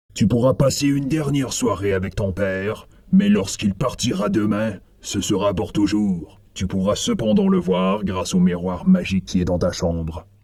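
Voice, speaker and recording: At a moderate pace and a fairly low pitch, a man talks in a put-on character voice. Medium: read story. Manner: gruff, commanding.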